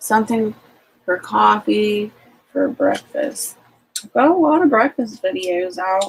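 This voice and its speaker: A somewhat breathy woman speaks at a fairly high pitch with lively intonation. Her loudness swings widely, and she takes long, frequent pauses. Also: fairly slow pace. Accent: American. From Ohio, US. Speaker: homesteading livestream host. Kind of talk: casual live-stream chat.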